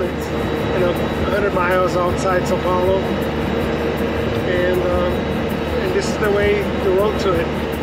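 The pace of the speech is moderate. Behind it, there is music. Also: man. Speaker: vlogger. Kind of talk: casual vlog chat. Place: car. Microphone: phone near.

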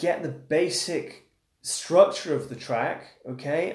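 A man with an English accent speaks at a fairly high pitch with lively intonation. Audible room echo surrounds his voice. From England. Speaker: guitar teacher. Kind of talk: live stream chat and guitar tutorial. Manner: casual.

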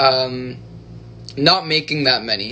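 A man speaks with fairly even intonation. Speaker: livestreamer. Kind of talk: casual livestream chat. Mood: cheerful, relaxed. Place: home room. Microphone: phone near.

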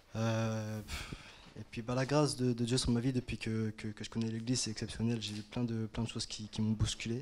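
A man talks at a moderate pace in a flat monotone. Light background noise is present. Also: medium pitch for a man. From France, Paris area. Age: 20s. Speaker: churchgoer. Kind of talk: testimony. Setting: church. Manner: halting. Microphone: handheld.

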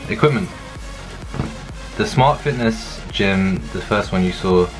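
With clear music in the background, a man speaks at a fairly slow pace in a fairly low pitch. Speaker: vlogger. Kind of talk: casual vlog chat. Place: home room. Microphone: phone near.

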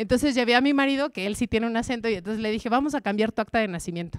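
Against a quiet background, a woman talks very fast at fairly high pitch, the sound dry with no echo. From Mexico. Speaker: journalist and language adviser giving a talk; journalist. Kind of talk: talk to a live audience. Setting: stage with audience. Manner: animated. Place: stage. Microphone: handheld.

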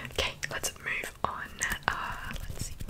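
A woman whispers at a very slow pace. She is soft-spoken. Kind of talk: soft-spoken roleplay chat. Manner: soft, close-mic ASMR whisper. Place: home room. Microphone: studio mic.

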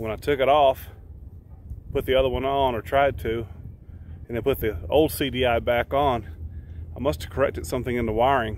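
With vocal fry and ordinary pitch variation, a man talks at a moderate pace with long, frequent pauses, his dry sound carrying no echo over light background noise. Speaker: RV vlogger. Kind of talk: casual vlog chat. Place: street. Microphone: phone near.

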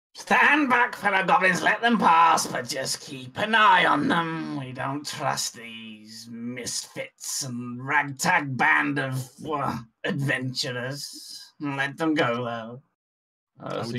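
Someone puts on a character voice at a low-to-middle pitch, speaking at a very slow pace. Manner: nervous, wary, blustering; boastful, irritable.

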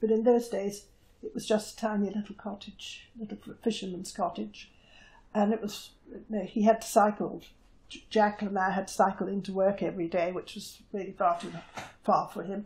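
Somewhat breathy, a woman talks at a moderate pace in a monotone, flat intonation. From Jersey, Channel Islands. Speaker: war-time occupation witness; witness. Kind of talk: oral history interview. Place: home room. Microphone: lapel.

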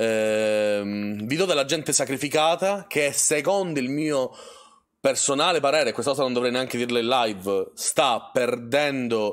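Against a quiet background, a man speaks at medium pitch and a moderate pace with ordinary pitch variation. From Sicily. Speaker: streamer. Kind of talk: casual live stream conversation. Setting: voice call on a live stream. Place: home room.

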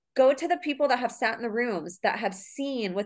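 A woman speaks at a moderate pace with ordinary pitch variation. The background is quiet. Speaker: podcast host. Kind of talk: interview. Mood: warm, enthusiastic. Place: home room. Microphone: video call.

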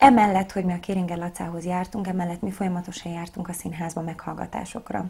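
Her words come at a fairly quick pace as the woman talks. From Hungary, Szigetszentmiklós near Budapest; Hungary. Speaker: operetta singer and actress; actress. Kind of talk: interview. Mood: relaxed, friendly. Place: studio.

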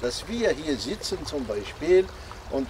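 There is noticeable background noise. Over it, a man speaks at a fairly slow pace. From Algeria. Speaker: inventor presenting his devices. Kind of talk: workshop talk. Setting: outdoors. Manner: halting. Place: garden. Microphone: camera far.

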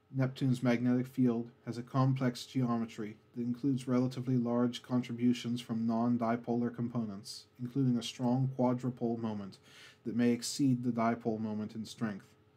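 A soft-spoken man talks in a dark, mellow tone with monotone, flat intonation. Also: medium pitch for a man, moderate pace, hardly any pauses. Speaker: ASMR narrator. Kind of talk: educational space facts narration, ASMR style. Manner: soft-spoken, calm.

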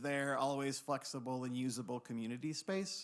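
The speech moves at a moderate pace in a very clean recording with a silent background. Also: man. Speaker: site planning designer presenting to council. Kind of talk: presentation at public meeting. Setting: city council meeting room. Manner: loud.

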